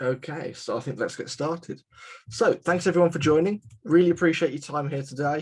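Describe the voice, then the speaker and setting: Speaking with a West Midlands accent, a man talks at a fairly quick pace with a fairly high pitch and ordinary pitch variation. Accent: British (West Midlands). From England, West Midlands (west of Birmingham). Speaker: CAM software presenter. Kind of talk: webinar presentation. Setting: live webinar. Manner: casual, filler-heavy.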